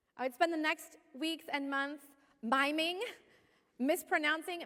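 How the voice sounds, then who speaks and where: A woman with an American accent uses a raised, projected voice. Her tone is bright and sharp, and her pace fairly slow. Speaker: pastor. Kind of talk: sermon.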